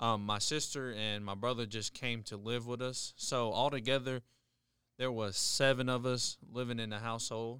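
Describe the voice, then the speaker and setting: A man with an American accent speaks at a moderate pace and medium pitch, his bright, sharp tone delivered in a monotone, flat intonation over a very clean recording with a silent background. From Charleston, West Virginia. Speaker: military airman and college student. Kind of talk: interview. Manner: halting.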